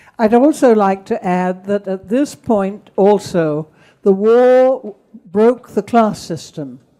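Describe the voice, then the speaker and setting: A woman's dark, mellow voice at a medium pitch, with a southern English accent, lively intonation and a very slow pace. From England, Kent. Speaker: speaker on wartime childhood. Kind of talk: talk with Q and A.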